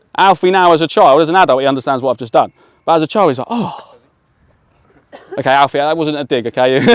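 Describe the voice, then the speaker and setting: A man with a British accent and fairly high pitch speaks at a very fast pace broken by long, frequent pauses, with ordinary pitch variation and a dry, close sound with no echo. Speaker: sports coach trainer. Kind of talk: coaching workshop to adults.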